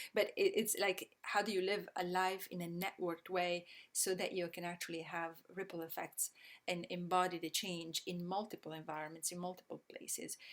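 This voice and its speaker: With an Italian accent, a woman talks at a fairly low pitch. Her intonation stays fairly even. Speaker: systems change educator. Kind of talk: online presentation. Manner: halting, many fillers.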